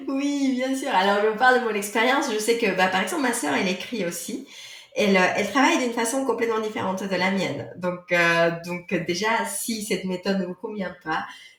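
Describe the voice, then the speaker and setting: A woman talks at a medium pitch with lively intonation and a fairly quick pace. Audible room echo and noticeable background noise fill the recording. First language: not French (speaking French). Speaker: yoga teacher and author. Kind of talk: podcast interview.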